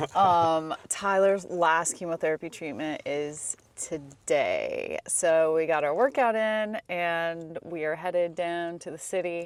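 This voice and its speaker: At a very slow pace, a woman speaks with a fairly low pitch and ordinary pitch variation. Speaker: travel vlogger. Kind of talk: casual vlog chat. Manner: loud.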